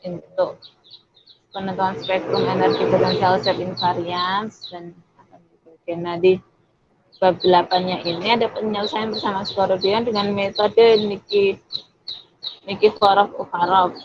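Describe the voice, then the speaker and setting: Long, frequent pauses break up a woman's speech. Her intonation is monotone and flat. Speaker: university student mentor. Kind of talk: online tutorial presentation. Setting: video call.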